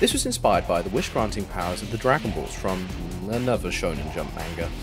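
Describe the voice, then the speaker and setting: A man races through his words at a very fast pace while music plays in the background. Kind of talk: trivia narration.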